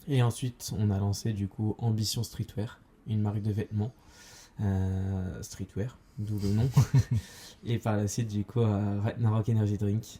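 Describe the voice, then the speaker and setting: Speaking at a fairly low pitch, a man delivers a dark, mellow, somewhat breathy voice in a monotone, flat line, moving at a fairly slow pace with long, frequent pauses. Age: 20s. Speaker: entrepreneur, podcast co-host. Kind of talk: casual chat. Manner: hesitant, many fillers.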